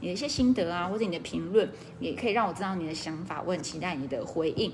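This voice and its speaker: A woman talks at a very fast pace with a medium pitch and lively intonation. Noticeable background noise runs behind her. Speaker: direct-selling business coach. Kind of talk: casual livestream talk; sales pitch. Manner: relaxed.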